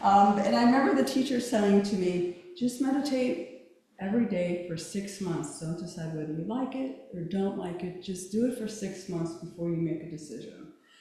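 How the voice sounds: Soft-spoken and at a moderate pace, a woman talks at a medium pitch with a dark, mellow tone and ordinary pitch variation, and the room echo is strong.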